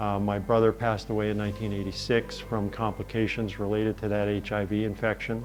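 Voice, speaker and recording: A man's fairly low, monotone, flat voice at a fairly quick pace, with music in the background. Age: 60s. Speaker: patient advocate. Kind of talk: testimony. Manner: halting with fillers.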